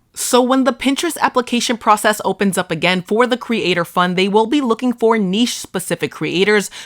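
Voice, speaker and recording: Speaking at a fairly quick pace with a Boston accent, a woman keeps a fairly high pitch, ordinary pitch variation and very even loudness in a dry, close sound with no echo. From Boston area, US. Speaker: social media marketing creator. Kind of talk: tutorial.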